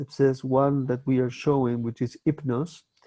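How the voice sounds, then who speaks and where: A man with a Spanish accent speaks at a medium pitch and moderate pace in a dark, mellow tone. His intonation is monotone and flat, and the sound is dry and close with no echo. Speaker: film festival host. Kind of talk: interview. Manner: halting.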